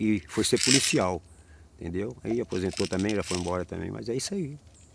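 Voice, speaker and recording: A man with a fairly low pitch and an unremarkable speaking voice talks with lively intonation on a very clean recording against a silent background. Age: 60s. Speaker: capoeira master. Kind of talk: oral history interview.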